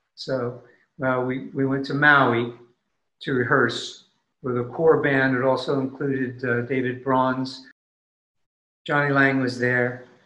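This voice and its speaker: A man speaks at a very slow pace with long, frequent pauses. His intonation is monotone and flat, with audible room echo. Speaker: musician. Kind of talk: casual chat. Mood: warm, reflective. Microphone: webcam.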